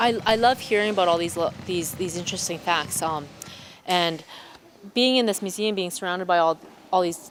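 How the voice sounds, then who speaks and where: Speaking in an Albertan accent at a fairly quick pace, a woman uses a medium pitch and ordinary pitch variation, with long, frequent pauses. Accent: Canadian English (Alberta). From Alberta, Canada (small town). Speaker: museum co-host. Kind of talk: casual interview chat. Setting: in a museum. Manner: halting with repetitions.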